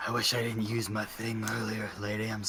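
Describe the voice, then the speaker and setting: A man's raspy put-on character voice at medium pitch, moderate pace and monotone, flat intonation, with clear background noise. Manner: resigned, defeated.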